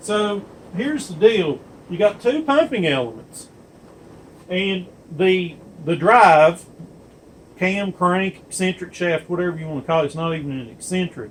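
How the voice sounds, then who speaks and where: The speech has lively intonation and big swings in loudness, broken by long, frequent pauses, with noticeable background noise. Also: man, high pitch for a man, moderate pace. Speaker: diesel pump technician. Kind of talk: workshop demonstration. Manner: casual with fillers.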